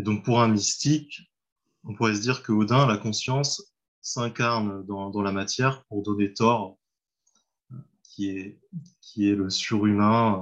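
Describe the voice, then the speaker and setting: Speaking very slowly with long, frequent pauses, a man keeps a fairly low pitch and fairly even intonation. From France, Mayenne. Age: 30s. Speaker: translator. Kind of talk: casual interview. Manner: halting.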